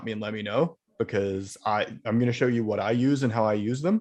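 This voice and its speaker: Against a quiet background, a man at a medium pitch has an ordinary speaking voice. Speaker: video editor presenting at user group. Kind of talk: software presentation at user group meeting. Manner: casual, filler-heavy.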